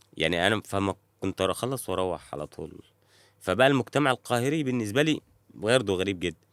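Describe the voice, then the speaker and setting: Fairly quick, fairly low-pitched male speech with lively intonation, the sound dry and close with no echo. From rural Egypt (village outside Cairo). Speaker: actor. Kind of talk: casual chat. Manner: halting, many false starts.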